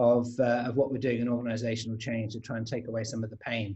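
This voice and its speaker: A man's dark, mellow tone with a London accent. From London, England. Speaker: agile coach and trainer. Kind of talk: panel webinar introduction. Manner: hesitant, many fillers.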